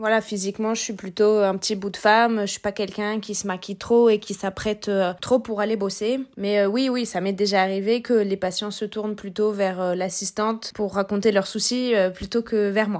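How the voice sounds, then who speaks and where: A woman's medium-pitched voice stays monotone and flat throughout. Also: moderate pace. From southern France. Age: 20s. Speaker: periodontist. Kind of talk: casual chat.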